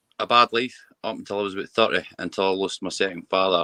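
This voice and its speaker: A man with a West Lothian accent speaks in a very deep, low voice with a bright, sharp tone. His intonation is fairly even, and the sound is dry and close with no echo. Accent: Scottish (West Lothian). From Scotland. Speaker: mental health campaigner. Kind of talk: personal testimony. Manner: halting with repetitions.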